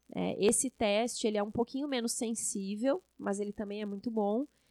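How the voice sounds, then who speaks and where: At a moderate pace, a woman speaks with a fairly high pitch, a dark, mellow tone and fairly even intonation, in a dry, close sound with no echo. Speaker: infectious disease doctor and professor. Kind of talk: podcast interview.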